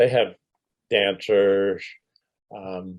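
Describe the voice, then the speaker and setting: The speech comes from a man with a fairly low pitch. He talks very slowly. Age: 60s. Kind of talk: interview reminiscence. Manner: hesitant, many fillers.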